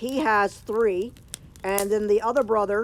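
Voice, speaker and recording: A woman with a normal speaking voice talks at medium pitch and a moderate pace, with ordinary pitch variation. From Canada, Kingston Ontario. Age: 40s. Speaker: live streamer. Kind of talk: casual chat. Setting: outdoors by a fire.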